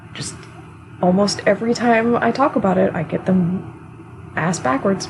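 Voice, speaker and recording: A woman speaks quietly. Noticeable background noise sits behind her. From United States. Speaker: energy work teacher. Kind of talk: online class lecture. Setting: live stream on Discord. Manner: casual, hesitant with fillers.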